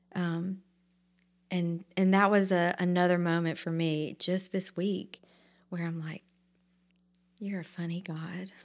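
With an Alabama accent, a woman speaks at a fairly slow pace in a monotone, flat intonation broken by long, frequent pauses. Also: fairly low pitch for a woman. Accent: Southern US (Alabama). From US South, Montgomery, Alabama. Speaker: actress and shop owner. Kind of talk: interview.

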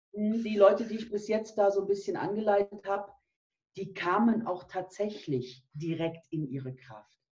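A woman speaks at a moderate pace in a dark, mellow tone. Her voice is somewhat breathy, with big swings in loudness. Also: medium pitch for a woman, ordinary pitch variation. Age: 50s. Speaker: nutrition and health coach. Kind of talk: interview.

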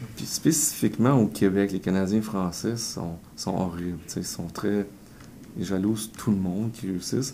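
A man with a Quebec accent speaks at a fairly slow pace. His pitch sits fairly low, with ordinary variation. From Quebec, south shore of Montreal. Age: 40s. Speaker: entrepreneur and author. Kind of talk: interview.

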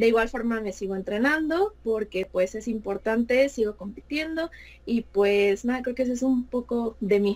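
A woman with an unremarkable speaking voice, fairly high for a woman, talks at a moderate pace with ordinary pitch variation. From Mexico City. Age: 20s. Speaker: fashion designer and figure skater. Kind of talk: interview.

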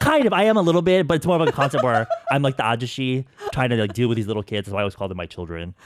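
Over noticeable background noise, a man speaks very fast at medium pitch with very wide pitch swings. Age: 30s. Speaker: beauty YouTuber. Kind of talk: casual interview. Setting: studio.

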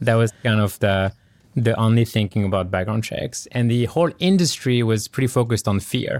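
Fairly quick speech with a French accent and ordinary pitch variation, on a very clean recording with a silent background. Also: man, medium pitch for a man. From France. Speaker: tech startup founder and CEO. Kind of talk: interview conversation.

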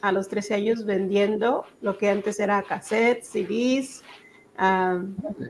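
A woman speaks at a very slow pace in a medium pitch, with flat, monotone intonation and very even loudness. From Mexico (Zacatecas), born in Texas. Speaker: entrepreneur, business owner. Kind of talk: interview.

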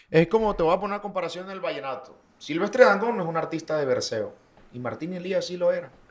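Over noticeable background noise, a man speaks very fast at a high pitch, his loudness swinging widely and his pitch varying in an ordinary way. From Colombian Caribbean coast, Valledupar. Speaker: vallenato singer. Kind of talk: casual interview chat.

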